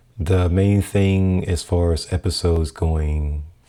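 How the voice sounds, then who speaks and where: Soft-spoken and very slow, a man talks in a very deep, low voice with a dark, mellow tone and monotone, flat intonation. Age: 40s. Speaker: podcaster and photographer. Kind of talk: casual vlog talk. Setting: home apartment room. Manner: soft-spoken, low; halting, many fillers. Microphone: new audio setup being tested.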